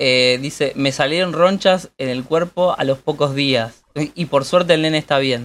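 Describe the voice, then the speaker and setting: A man's fairly high voice in an Argentine accent, fairly slow with hardly any pauses and ordinary pitch variation. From Argentina. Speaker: podcast co-host. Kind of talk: casual chat.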